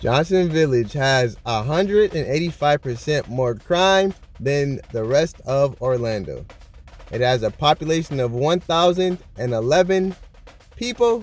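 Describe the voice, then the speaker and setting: With music in the background, a man with an American accent speaks fairly slowly. His fairly high-pitched voice carries lively intonation. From northern US. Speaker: YouTuber presenting city statistics. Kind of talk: casual vlog-style commentary.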